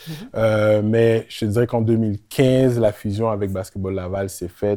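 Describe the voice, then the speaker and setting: A man speaks at a fairly slow pace in a dark, mellow tone. The recording is very clean, with a silent background. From Quebec, Montréal-Nord. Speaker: teacher and basketball association president. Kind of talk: interview.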